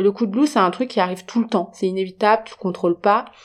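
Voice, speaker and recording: A woman with a fairly high pitch uses an ordinary speaking voice and ordinary pitch variation. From France. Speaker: podcast host. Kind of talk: casual solo podcast talk.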